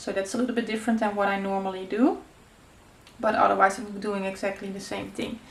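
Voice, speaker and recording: Audible room echo surrounds a woman with a Dutch accent who speaks very fast at a medium pitch in monotone, flat intonation. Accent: Dutch accent, noticeable. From Netherlands. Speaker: craft youtuber. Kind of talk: tutorial. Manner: casual, hesitant with many fillers.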